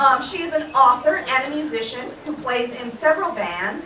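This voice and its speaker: Noticeable background noise behind a woman speaking at a moderate pace. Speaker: event host. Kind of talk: stage introduction. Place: stage.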